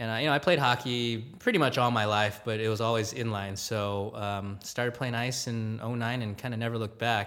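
At a fairly quick pace with hardly any pauses, a man speaks at medium pitch with fairly even intonation. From Southern California (Gardena, LA County). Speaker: hockey team digital content producer. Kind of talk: casual interview chat. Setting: coffee shop.

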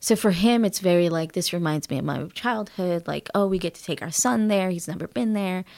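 Her medium-pitched voice is an ordinary speaking voice, with big swings in loudness. The woman moves at a fairly quick pace with hardly any pauses. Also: ordinary pitch variation. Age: 30s. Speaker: spiritual healer and Akashic Records reader. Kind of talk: casual interview conversation.

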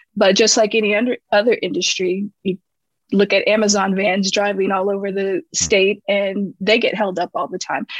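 With an American accent, a woman uses an ordinary speaking voice at medium pitch, ordinary pitch variation and a moderate pace, recorded with a dry, close sound and no echo. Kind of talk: interview.

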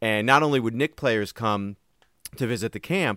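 A man with an American accent uses a plain, everyday voice, fairly low in pitch, at a fairly quick pace with lively intonation. The recording is very clean with a silent background and a dry, close sound with no echo. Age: 40s. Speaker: podcast co-host. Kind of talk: casual chat.

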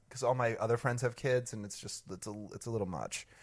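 In a very clean recording with a silent background, a man talks fairly quickly. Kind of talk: casual chat. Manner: talks a lot.

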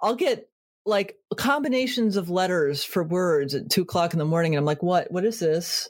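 In a very clean recording with a silent background, a woman with an American accent speaks in a plain, everyday voice at a medium pitch, with lively intonation and very even loudness. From Connecticut. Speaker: podcast host. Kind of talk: casual interview chat; gentle guided reflection closing the show. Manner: slow, soft, soothing pacing with calm pauses.

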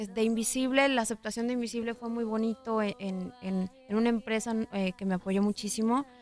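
A woman at a moderate pace, fairly high in pitch, dry and close with no echo, over noticeable background noise. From Mexico, Guadalajara. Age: 20s. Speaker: pop singer. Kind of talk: interview.

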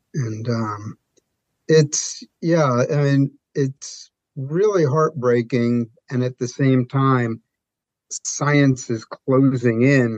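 Very slowly, a man speaks with a New York accent at a medium pitch, with ordinary pitch variation. The sound is dry and close, with no echo. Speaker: barbecue sauce maker. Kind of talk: casual interview chat.

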